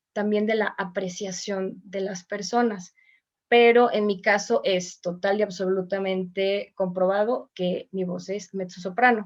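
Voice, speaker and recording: Her intonation stays fairly even. The woman speaks at a fairly slow pace. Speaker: voice teacher and choir singer. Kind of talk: online mini class.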